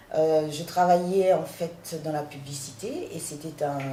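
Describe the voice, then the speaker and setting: A woman with a very deep, low pitch and ordinary pitch variation comes through audible room echo and noticeable background noise. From Paris, France (born in Haiti, arrived at 10). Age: 40s. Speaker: guest house owner and art gallerist. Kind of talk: interview.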